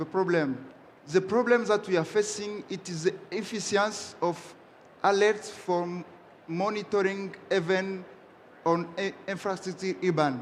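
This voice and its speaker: The speaker talks at a fairly slow pace with a French accent. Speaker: startup founder pitching. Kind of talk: pitch and Q&A with judges. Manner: halting.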